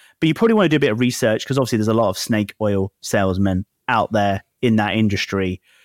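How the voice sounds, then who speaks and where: A man with an unremarkable speaking voice talks at a fairly quick pace with ordinary pitch variation on a very clean recording with a silent background and a dry, close sound with no echo. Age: 30s. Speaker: startup founder. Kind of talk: interview.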